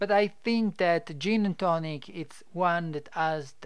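In an Italian accent, a man speaks high and at a fairly slow pace, with ordinary pitch variation. The recording is very clean, the background silent. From Italy. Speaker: podcast host and business developer. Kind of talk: informative monologue. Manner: halting, many fillers.

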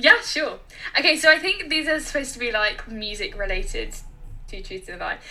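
Amid noticeable background noise, a woman with an extremely high pitch uses a raised, projected voice at a fairly quick pace, with very wide pitch swings and big swings in loudness. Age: 20s. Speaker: podcast co-host, music graduate. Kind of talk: casual chat.

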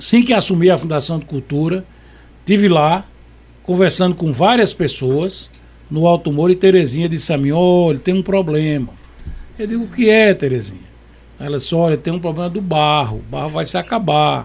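A high-pitched man talks at a moderate pace with ordinary pitch variation. His speech has long, frequent pauses. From Pernambuco, Caruaru. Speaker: head of a municipal culture foundation. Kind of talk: radio interview.

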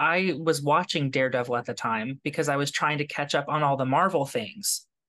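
A man in an American accent, fairly high-pitched with a bright, sharp tone, talking fairly quickly over a quiet background. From Kentucky, US South. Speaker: podcast host. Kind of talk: casual interview.

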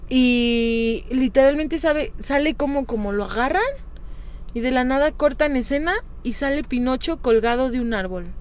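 A woman talks at a moderate pace with a high pitch and ordinary pitch variation. Noticeable background noise runs behind her. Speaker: podcast co-host. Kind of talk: casual chat.

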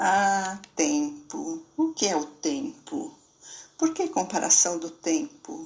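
A woman speaks at a very slow pace in a fairly high, somewhat breathy voice. Her pitch swings very widely. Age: 70s. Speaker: poet and columnist. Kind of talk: reflective monologue. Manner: halting.

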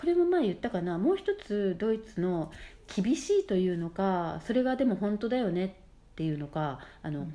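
Her voice is medium-pitched, dark and mellow, with lively intonation at a moderate pace. The woman is recorded very cleanly against a silent background. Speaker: mother living abroad. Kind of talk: casual chat. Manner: halting, filler-heavy.

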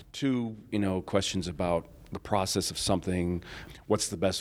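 Speaking at a moderate pace, a man has a very deep, low voice with an American accent. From US Northeast (Rochester, New York). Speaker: Photoshop tutor and online group founder. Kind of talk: casual interview. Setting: recorded at a conference.

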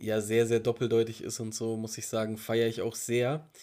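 A man speaks at a fairly quick pace, with medium pitch. His is an ordinary speaking voice. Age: 30s. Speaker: podcast co-host. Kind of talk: casual chat.

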